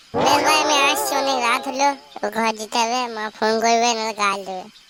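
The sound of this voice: A female-sounding cartoonish character voice speaks with a fairly high pitch. The pace is moderate.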